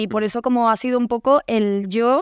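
Heard on a very clean recording with a silent background and a dry, close sound with no echo, a woman speaks at a moderate pace in a fairly high voice with fairly even intonation. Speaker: singer. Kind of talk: casual chat.

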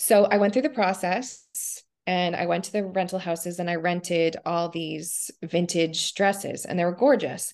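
Speaking at a moderate pace with a Canadian accent, a woman uses a plain, everyday voice, fairly low in pitch with ordinary pitch variation. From Canada, Ontario and Nova Scotia. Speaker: costume designer. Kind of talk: interview.

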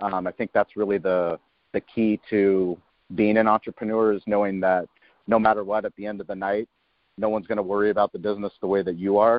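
Here a man speaks with an American accent. His pitch is fairly low, and his intonation is monotone and flat. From US West Coast, San Diego (La Jolla). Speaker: barbecue restaurant owner. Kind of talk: interview.

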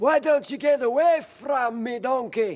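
A man puts on a character voice pitched extremely high, keeping to a moderate pace. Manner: imitation of a cartoon character.

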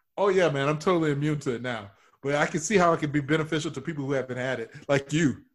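Very fast and fairly high-pitched, a man talks with ordinary pitch variation in a very clean recording with a silent background. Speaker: improv comedian.

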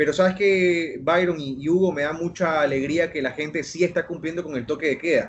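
A man with a plain, everyday voice, fairly high in pitch, fairly even in intonation, at a moderate pace with hardly any pauses. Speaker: journalist. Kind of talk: casual chat.

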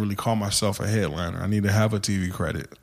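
With an unremarkable speaking voice, the speaker goes along fairly quickly, keeping the intonation fairly level. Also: man. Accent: American. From US, San Antonio, Texas. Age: 30s. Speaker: stand-up comedian. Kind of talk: casual interview chat.

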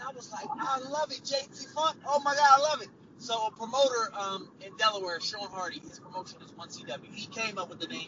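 With hardly any pauses, a man in an American accent talks at a fairly quick pace with an extremely high pitch, lively intonation and big swings in loudness, over noticeable background noise. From Trenton, New Jersey. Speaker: professional wrestler. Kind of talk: interview.

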